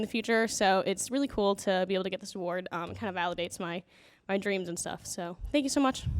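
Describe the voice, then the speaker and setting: A woman at a very fast pace, with lively intonation. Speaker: student award winner. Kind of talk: acceptance speech. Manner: mumbling.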